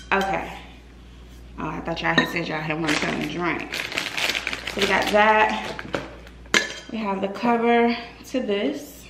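A woman speaks at a fairly slow pace with long, frequent pauses and ordinary pitch variation. Loud background noise fills the recording. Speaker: lifestyle vlogger. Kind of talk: casual vlog chat. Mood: cheerful, excited. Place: home room. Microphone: phone near.

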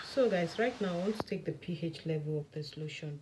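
Moderate-paced speech against noticeable background noise. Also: woman. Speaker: skincare maker and vlogger. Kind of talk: tutorial. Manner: soft-spoken. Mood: enthusiastic. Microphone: phone near.

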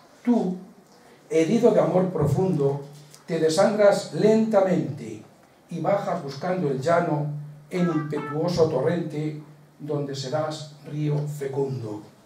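Speaking at a very slow pace, a man with a fairly high pitch and ordinary pitch variation is heard over light background noise with audible room echo. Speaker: presenter of the book launch; presenter. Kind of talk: book presentation, moderating. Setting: local event in a village hall with audience. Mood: measured, expressive recital. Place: hall. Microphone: camera far.

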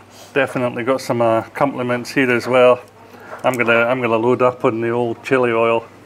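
A man with a Scottish accent talks at a fairly quick pace over light background noise. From Scotland. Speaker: travel vlogger. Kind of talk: travel vlog narration and casual chat; casual vlog chat. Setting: outdoors at a mountain restaurant. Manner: enthusiastic, animated.

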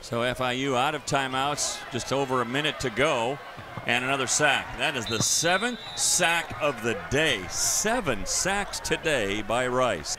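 A man's medium-pitched voice, fairly slow and with lively intonation, over noticeable background noise. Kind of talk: live football play-by-play commentary.

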